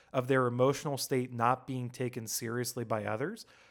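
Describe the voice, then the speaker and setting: An ordinary speaking voice from a man at a fairly high pitch and fairly quick pace, on a very clean recording with a silent background. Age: 30s. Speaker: film podcast co-host. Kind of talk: reading prepared essay.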